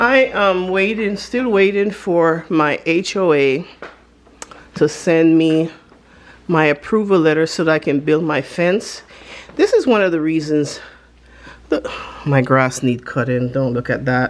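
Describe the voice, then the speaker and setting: With a non-native accent and a fairly low pitch, a woman speaks at a fairly slow pace with lively intonation and long, frequent pauses. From Panama. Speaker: lifestyle vlogger. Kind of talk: casual vlog chat. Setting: home, filming on camera. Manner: chatty, informal.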